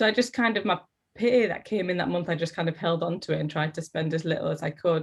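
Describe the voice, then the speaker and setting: A woman with a Teesside accent speaks at a fairly low pitch, her pitch varying in an ordinary way. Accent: Teesside accent, often taken for Geordie. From northern England, Middlesbrough (Teesside). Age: 30s. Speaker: actor and drama teacher. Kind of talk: interview. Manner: animated.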